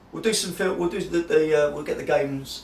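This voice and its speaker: A man speaks over noticeable background noise, with audible echo in the room. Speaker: tabletop gaming YouTuber. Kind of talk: personal video diary.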